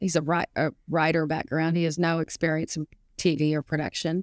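A woman's fairly low, monotone voice with flat intonation, in a very clean recording with a silent background and a dry, close sound with no echo. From Arkansas, US South. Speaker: golf analyst and author. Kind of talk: interview.

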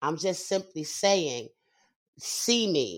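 A woman's animated voice with lively intonation on a very clean recording with a silent background. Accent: New York. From Brooklyn, New York. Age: 50s. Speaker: singer and actress. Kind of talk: interview. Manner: animated, frequent laughter.

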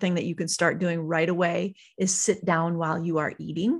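On a very clean recording with a silent background, a woman with a fairly low pitch talks at a very fast pace. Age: 40s. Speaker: author and farm wife. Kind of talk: casual interview chat. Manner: animated, enthusiastic.

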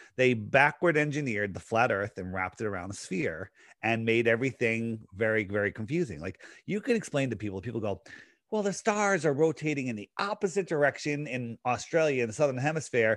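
Against a quiet background, a man with an American accent talks at a fairly quick pace and medium pitch, his voice making very wide pitch swings. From Connecticut, Fairfield County. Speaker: conspiracy podcaster. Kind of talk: casual interview. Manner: fast.

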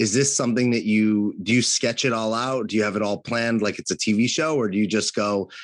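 A man talks at a fairly quick pace with hardly any pauses, very even loudness and fairly even intonation at a medium pitch. It is an ordinary speaking voice over a quiet background. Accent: American. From California. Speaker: podcast co-host and coach. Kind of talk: casual chat.

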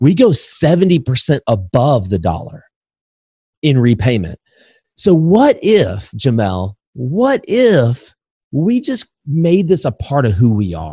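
Dry and close with no echo, a man's somewhat breathy, fairly high voice with an American accent moves very slowly through very wide pitch swings. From Indiana, US Midwest. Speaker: real estate investor and educator. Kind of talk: interview.

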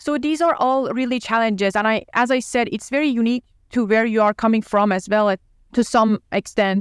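A woman with an Iranian accent, fairly high in pitch, at a fairly quick pace with ordinary pitch movement, in a very clean, dry, close recording against a silent background. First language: Persian. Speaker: urology resident. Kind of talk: podcast interview conversation.

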